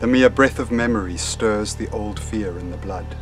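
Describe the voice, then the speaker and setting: Clear music plays in the background as a man speaks. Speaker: poetry reader. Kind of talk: poetry reading. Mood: calm, solemn. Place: garden. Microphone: phone near.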